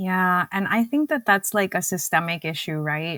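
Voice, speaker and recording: Recorded dry and close with no echo on a very clean, silent track, a woman at medium pitch speaks at a moderate pace in a bright, sharp tone. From Cuba. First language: Spanish. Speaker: dietitian and diabetes educator. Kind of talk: podcast interview.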